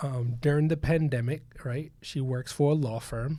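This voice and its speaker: A man talks at a fairly slow pace in a dark, mellow tone. His voice is somewhat breathy. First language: not English. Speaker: podcast co-host and coach. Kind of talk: casual chat. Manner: animated.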